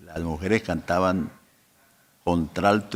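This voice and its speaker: Fairly slow speech with fairly even intonation on a very clean recording with a silent background. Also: man. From Colombia. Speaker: pastor. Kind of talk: interview. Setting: podcast recording.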